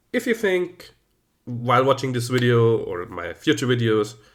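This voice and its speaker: A man speaks with a German accent and lively intonation. The recording is very clean, with a silent background. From German-speaking Central Europe. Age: 30s. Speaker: YouTuber, teacher. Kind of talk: casual video commentary.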